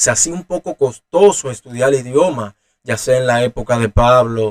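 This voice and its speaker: A man's medium-pitched voice at a moderate pace, with ordinary pitch variation, in a dry, close sound with no echo. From Dominican Republic. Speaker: Bible teacher. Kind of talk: teaching talk. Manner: halting, many fillers and restarts.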